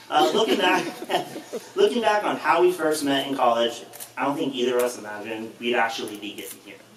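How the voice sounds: Audible room echo surrounds a man with a medium pitch and a fairly bright tone. He talks at a fairly quick pace with ordinary pitch variation.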